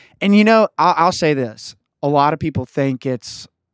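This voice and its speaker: Fairly high male voice in an Appalachian accent, moderate in pace with ordinary pitch variation and a dry, close sound with no echo. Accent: Appalachian US Southern. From West Virginia. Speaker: country band member. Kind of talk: casual interview chat.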